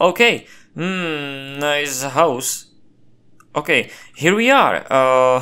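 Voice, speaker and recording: A man's very slow speech with long, frequent pauses, a fairly high pitch, ordinary pitch variation, a bright, sharp tone and a non-native accent. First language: not English. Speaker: gameplay commentator. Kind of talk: gameplay commentary. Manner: animated.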